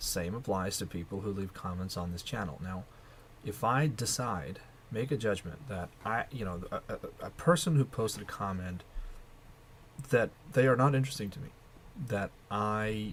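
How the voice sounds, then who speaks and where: A man speaks at a moderate pace with a fairly low, somewhat breathy voice. His intonation is lively. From Russia. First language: Russian. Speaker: video blogger. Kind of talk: casual monologue vlog. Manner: hesitant, with repetitions.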